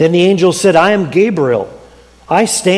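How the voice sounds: A natural reading voice carries the words.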